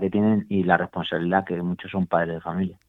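A normal speaking voice from a man, fairly low-pitched, with fairly even intonation. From Málaga, Andalusia, Spain. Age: 40s. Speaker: master cyclist, PE teacher. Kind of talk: interview.

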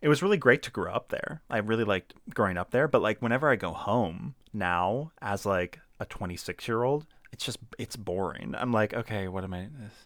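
In an ordinary speaking voice, a man with an American accent talks at medium pitch with big swings in loudness, on a very clean recording with a silent background and a dry, close sound with no echo. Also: fairly quick pace. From Maryland, US (Laurel, between Baltimore and DC). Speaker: actor, playwright and gaming YouTuber. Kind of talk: casual interview chat. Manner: casual, frequent laughter and filler words.

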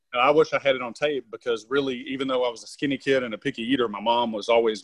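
A man with a Southern US accent speaks at a medium pitch. He talks at a very fast pace. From Tennessee. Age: 40s. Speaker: strongman performer and sheriff's officer. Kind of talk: casual interview chat.

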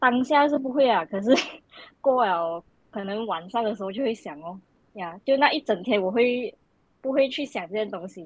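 A woman's fairly high voice with lively intonation, big swings in loudness, a moderate pace and long, frequent pauses. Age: 20s. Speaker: pharmacy student. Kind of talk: casual chat.

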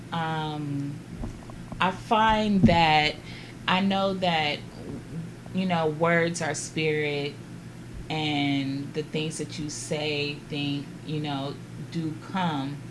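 Audible room echo surrounds a woman with an American accent and a very deep, low pitch who speaks very slowly and fairly evenly, with long, frequent pauses. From Los Angeles, California. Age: 40s. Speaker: guest. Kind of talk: casual chat.

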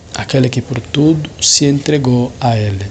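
A man's very slow speech with ordinary pitch variation over noticeable background noise. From Angola, Lobito, Benguela. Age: 30s. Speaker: Franciscan friar, theology student. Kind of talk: personal testimony.

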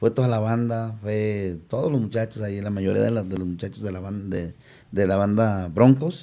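Fairly low in pitch, this man's voice has a dark, mellow tone. He speaks at a moderate pace with ordinary pitch variation. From León, Guanajuato, Mexico. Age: 50s. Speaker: band singer. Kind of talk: casual chat.

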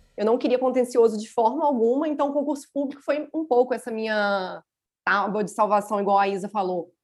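A woman with an ordinary speaking voice talks at a fairly high pitch with ordinary pitch variation. Her pace is fairly quick. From Minas Gerais, Brazil (Juiz de Fora). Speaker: lawyer. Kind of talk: casual chat.

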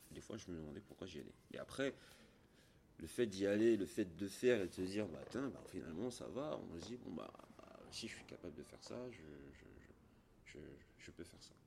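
With a very deep, low pitch, a man speaks at a moderate pace, making very wide pitch swings and big swings in loudness. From Gabon. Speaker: former pro Muay Thai boxer and gym owner. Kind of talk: interview. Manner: hesitant, repeats words.

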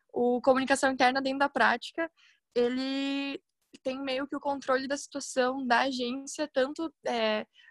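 A woman's high-pitched voice at a fairly slow pace, with a dry, close sound and no echo. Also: very clean recording, silent background. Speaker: university communication student in junior agency. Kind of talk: casual chat.

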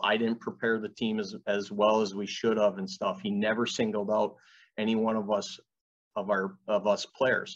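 In an Ontario accent, a man speaks at a moderate pace with a fairly low, flat, monotone delivery. The background is quiet. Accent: Canadian (Ontario). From Canada, Fort Erie, Ontario. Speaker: college hockey coach. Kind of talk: interview.

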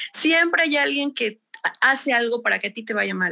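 In a raised, projected voice, a woman speaks at a high pitch. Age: 30s. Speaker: construction company employee. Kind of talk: testimony.

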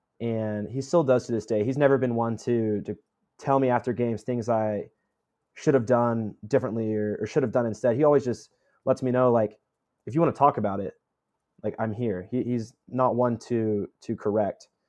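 A man's dark, mellow, medium-pitched voice at a moderate pace, with fairly even intonation. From Tennessee (Franklin, near Nashville). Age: 20s. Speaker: college baseball player. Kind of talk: interview.

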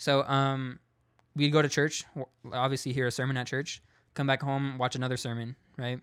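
Speaking with a West Coast US accent, a man of medium pitch talks at a moderate pace in a monotone, flat intonation, with long, frequent pauses. The recording is very clean, with a silent background. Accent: General American, West Coast. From US West Coast, San Diego. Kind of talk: casual testimony.

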